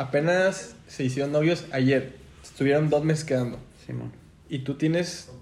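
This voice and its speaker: A man with a fairly high pitch talks at a moderate pace, with audible room echo. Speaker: podcast co-host. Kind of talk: casual chat. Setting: studio.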